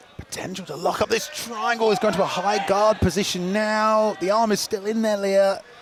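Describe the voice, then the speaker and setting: Against noticeable background noise, the speech runs at a moderate pace with hardly any pauses and fairly even intonation. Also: man, high pitch for a man. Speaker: MMA commentator. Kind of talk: live commentary. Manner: loud.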